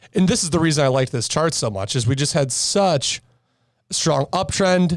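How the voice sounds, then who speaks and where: A man with an unremarkable speaking voice talks at a moderate pace with ordinary pitch variation on a very clean recording with a silent background. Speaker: stock trader. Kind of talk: casual podcast chart breakdown.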